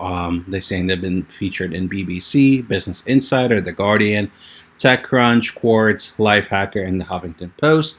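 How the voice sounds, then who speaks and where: A man speaks at a fairly low pitch. His pace is moderate and his pitch varies in an ordinary way. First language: Russian. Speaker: YouTuber. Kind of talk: review video. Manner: casual.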